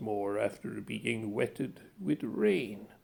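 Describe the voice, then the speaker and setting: Putting on a character voice, a man speaks fairly slowly with very wide pitch swings. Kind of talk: classic horror narration. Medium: read story. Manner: measured, ornate, dryly ironic.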